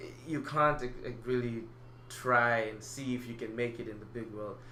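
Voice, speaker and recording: Over noticeable background noise and audible room echo, a man talks in a monotone, flat intonation. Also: medium pitch for a man, moderate pace. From Malawi. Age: 20s. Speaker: acting student. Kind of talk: interview. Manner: halting.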